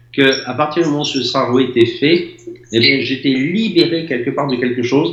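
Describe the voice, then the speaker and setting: Audible echo fills the room around the speaker. He is a man talking at a moderate pace. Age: 60s. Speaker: former building contractor. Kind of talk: testimony.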